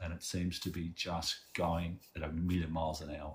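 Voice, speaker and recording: Speaking at a fairly slow pace with an Australian accent, a man has a very deep, low pitch and a somewhat breathy voice. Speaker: activist. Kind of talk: interview.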